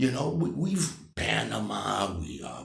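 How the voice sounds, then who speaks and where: Audible room echo surrounds a man with an American accent who sounds animated, swings his pitch very widely, and shows vocal fry. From United States. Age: 60s. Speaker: vlogger. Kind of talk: political opinion monologue. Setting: morning vlog.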